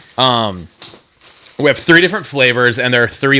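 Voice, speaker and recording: A man talks fairly quickly, pitch varying in an ordinary way, with noticeable background noise behind him. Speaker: podcast co-host. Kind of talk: casual chat. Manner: halting.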